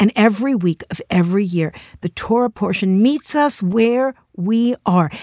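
A woman with a plain, everyday voice speaks at a fairly slow pace with lively intonation, the sound dry and close with no echo. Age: 60s. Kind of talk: inspirational talk.

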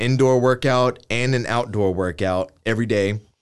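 With a normal speaking voice and an American accent, a man talks at a fairly slow pace with fairly even intonation over a quiet background. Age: 20s. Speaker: fashion week organizer and clothing designer. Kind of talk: casual interview.

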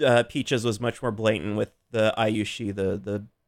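At a moderate pace, a man with an American accent speaks in a very clean recording with a silent background. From Omaha, Nebraska then Modesto, California. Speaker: radio show guest. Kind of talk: casual chat.

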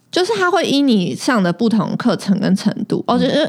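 Speaking in an unremarkable speaking voice, a woman talks at a fairly slow pace with lively intonation. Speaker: podcast co-host. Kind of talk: casual chat.

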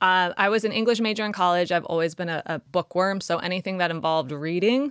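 In a Southern California accent, a woman speaks at a fairly low pitch with ordinary pitch variation, on a very clean recording with a silent background. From Los Angeles, California. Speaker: startup founder. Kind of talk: interview conversation.

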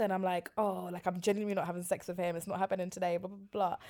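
On a very clean recording with a silent background, a woman with a London accent talks at a very fast pace in an animated tone. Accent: London (multicultural London English). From West London. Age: 20s. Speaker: podcast guest. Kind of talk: casual chat. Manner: animated, laughing often.

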